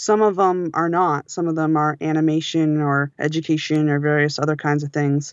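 Speaking at a moderate pace, a woman uses a very deep, low pitch and fairly even intonation. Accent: American. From Western Massachusetts, rural. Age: 30s. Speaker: audiobook editor and sound engineer. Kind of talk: casual interview chat.

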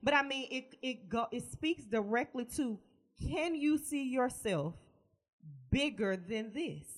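A woman's high voice, animated in tone with lively intonation, at a fairly slow pace. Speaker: podcast co-host. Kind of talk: casual chat.

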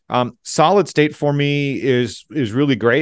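Over a quiet background, a man with an American accent speaks with fairly even intonation in a dry, close sound with no echo. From US Midwest, Southeast Michigan. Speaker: engineering executive. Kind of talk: interview.

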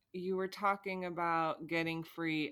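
A woman with a fairly low pitch speaks at a moderate pace in a plain, everyday voice. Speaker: podcast host. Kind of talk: casual chat, reading listener questions.

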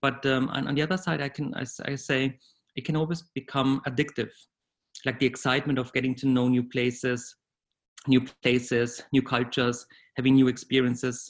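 Speaking with a German accent, a man keeps a medium pitch and a moderate pace. His delivery is monotone and flat on a very clean recording with a silent background. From Bavaria, southern Germany. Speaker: corporate HR executive. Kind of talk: interview, conversational. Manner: hesitant, with fillers and repetitions.

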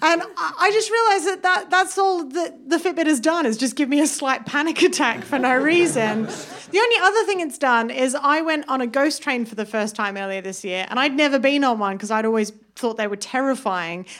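This woman, with a British accent and a high pitch, speaks at a fairly quick pace with hardly any pauses. Her pitch swings very widely over noticeable background noise. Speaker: stand-up comedian. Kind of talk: stand-up. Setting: stage with audience.

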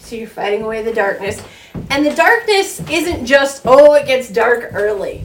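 Over noticeable background noise, the voice moves at a moderate pace with lively intonation and big swings in loudness. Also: woman. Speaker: co-host telling folklore. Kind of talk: casual storytelling chat.

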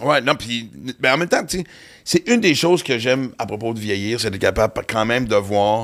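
An ordinary speaking voice from a man at a medium pitch, fairly quick pace and ordinary pitch variation, in a very clean recording with a silent background. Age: 50s. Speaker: comedian and podcast host. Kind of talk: casual chat. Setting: studio.

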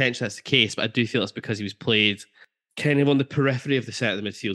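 Against a quiet background, a man with an Aberdeen accent speaks in a bright, sharp yet relaxed tone with ordinary pitch variation. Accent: Scottish, Aberdeen area. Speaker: podcast host. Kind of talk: casual football podcast chat. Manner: jokey, relaxed.

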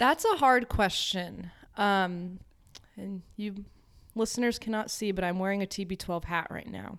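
An unremarkable speaking voice from a woman with an American accent, medium pitch, ordinary pitch variation, a fairly slow pace and big swings in loudness. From Connecticut, New England. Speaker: social worker. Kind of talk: casual chat.

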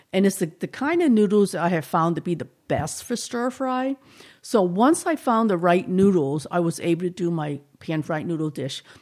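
With a slight Boston accent, a woman speaks at a medium pitch and a moderate pace with lively intonation, in a very clean recording with a silent background. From Boston, Chinatown. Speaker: cooking teacher. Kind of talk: casual interview.

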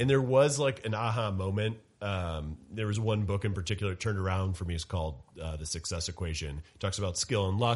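Over a quiet background, a man with a fairly low pitch and a somewhat breathy voice talks at a very fast pace with ordinary pitch variation. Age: 30s. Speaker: financial commentator. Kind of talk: casual chat.

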